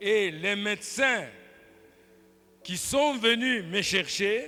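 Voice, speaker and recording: A raised, projected voice with a bright, sharp tone, very slow pace, ordinary pitch variation, and audible room echo. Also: man, high pitch for a man. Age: 70s. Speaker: pastor. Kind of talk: sermon. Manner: animated.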